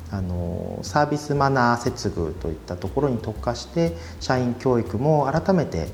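Music plays in the background as a man talks. His fairly low pitch swings very widely. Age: 30s. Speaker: company president. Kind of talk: interview.

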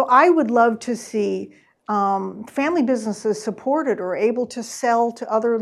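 With an American accent, an unremarkable speaking voice moves at a moderate pace with ordinary pitch variation against a quiet background. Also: woman. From US Midwest. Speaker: author. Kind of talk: book talk Q&A. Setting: in-person event with audience.

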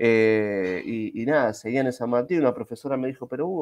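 A man with a plain, everyday voice talks at a medium pitch and a moderate pace, with ordinary pitch variation. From Argentina, Buenos Aires. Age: 40s. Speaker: Scrum master and IT teacher. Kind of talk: casual interview. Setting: live video stream.

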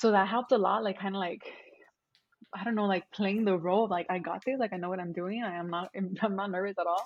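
Here a woman speaks very fast at a medium pitch. Her intonation stays fairly even. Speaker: PhD student and lecturer. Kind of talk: casual interview.

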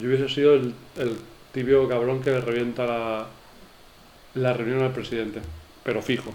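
Flat, monotone delivery from a man at medium pitch, moderate pace, with long, frequent pauses and audible room echo. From Spain, Elche. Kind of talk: casual chat.

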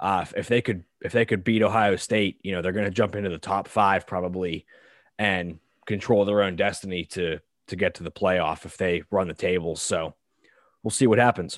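He has a normal speaking voice and an American accent, talking at a moderate pace with fairly even intonation. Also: fairly low pitch for a man. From Pittsburgh, Pennsylvania. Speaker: podcast co-host, college football fan. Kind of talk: casual chat.

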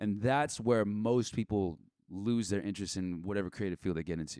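In a very clean recording with a silent background, a man with an American accent speaks at a fairly low pitch with ordinary pitch variation. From Southern California, Orange County. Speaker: rapper and producer. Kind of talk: casual chat. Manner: loud.

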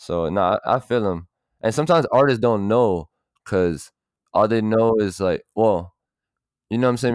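Heard dry and close with no echo over a quiet background, a man with an American accent and a normal speaking voice talks fairly quickly at a fairly low pitch with ordinary pitch variation. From South Florida (Miami and Broward, Miramar). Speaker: music producer and artist. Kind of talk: casual chat.

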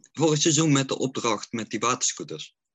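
Talking at a fairly quick pace, a man delivers his words. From North Brabant, Netherlands (Oosterhout). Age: 40s. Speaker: fan account runner, care worker. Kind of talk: casual chat. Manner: halting.

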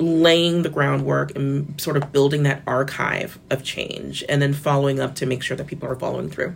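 A woman talks at a moderate pace with a very deep, low pitch. Vocal fry runs through her voice. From Florida. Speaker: media editor and journalist. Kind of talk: interview. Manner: casual with filler words.

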